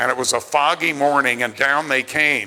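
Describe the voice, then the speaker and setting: This man has an unremarkable speaking voice, talking at a moderate pace with ordinary pitch variation. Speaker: public speaking teacher, actor and voiceover narrator. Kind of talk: after-dinner speech to an audience. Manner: conversational, anecdotal.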